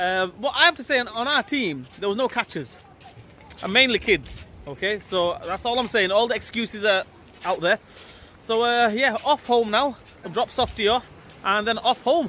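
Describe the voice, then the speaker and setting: A man's raised, projected voice with lively intonation at a moderate pace, long, frequent pauses, dry sound with no echo and light background noise. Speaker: vlogger. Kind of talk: casual vlog chat. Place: street. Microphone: phone near.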